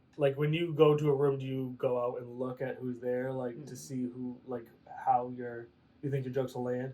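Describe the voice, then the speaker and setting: Using a playful tone, a man with a medium-pitched voice speaks at a moderate pace. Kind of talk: podcast interview host. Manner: casual, playful.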